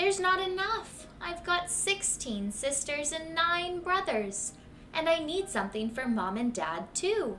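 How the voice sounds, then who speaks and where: A woman's put-on character voice at an extremely high pitch and a fairly slow pace, over clear background noise. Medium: read story.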